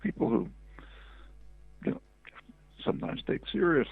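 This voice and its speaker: There is music in the background as a man speaks. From United States. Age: 80s+. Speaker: linguist and political theorist. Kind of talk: interview answer.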